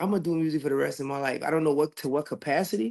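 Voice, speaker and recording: A man with a Louisiana accent talks at a fairly quick pace. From Louisiana, Lafayette. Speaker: singer. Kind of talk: interview. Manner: casual.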